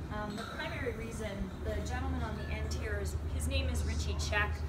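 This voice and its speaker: Against loud background noise, a woman speaks at a moderate pace. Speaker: tour guide. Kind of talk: guided tour talk. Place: open country. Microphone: camera far.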